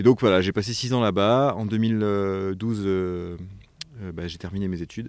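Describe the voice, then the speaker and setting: With fairly even intonation but big swings in loudness, a man speaks fairly slowly at a fairly low pitch. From Provence, southern France. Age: 30s. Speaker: director of an environmental education association. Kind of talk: interview. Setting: on location in a forest lodge. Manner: hesitant, many fillers.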